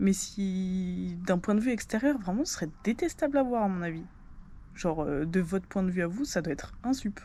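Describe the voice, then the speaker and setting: Her tone dark and mellow, a woman speaks at medium pitch and a moderate pace with lively intonation. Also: very clean recording, silent background. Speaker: vlogger. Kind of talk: casual vlog talk to camera. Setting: at home at night. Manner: loud; casual, filler-heavy.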